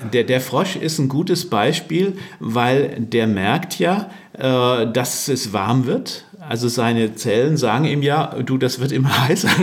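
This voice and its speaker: Over audible room echo, a man talks very slowly at a very even loudness, his intonation lively. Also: medium pitch for a man. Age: 60s. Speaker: workplace health consultant. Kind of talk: interview.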